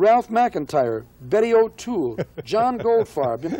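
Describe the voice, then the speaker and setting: The voice has a dark, mellow tone with an American accent. Its pitch swings very widely. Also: man. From United States. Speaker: jazz singer. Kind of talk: interview answer.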